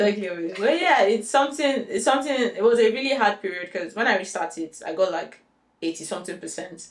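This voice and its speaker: With a Nigerian accent, a woman of medium pitch talks at a fairly quick pace with lively intonation. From Nigeria, Lagos. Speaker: software engineer. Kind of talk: interview, career story.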